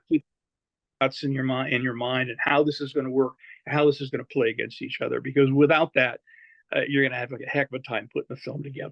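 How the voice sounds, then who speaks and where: The speaker is a man talking at a very fast pace. His intonation is monotone and flat. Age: 70s. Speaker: actor. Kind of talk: interview. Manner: halting, many fillers and repeats.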